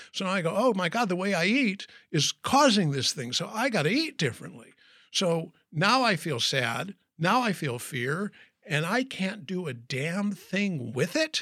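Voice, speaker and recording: A man speaks slowly-ish in a raised, projected voice, high-pitched with a bright, sharp tone and very wide pitch swings. The recording is very clean and the background silent. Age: 60s. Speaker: professional speaker and wellness coach. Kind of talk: interview.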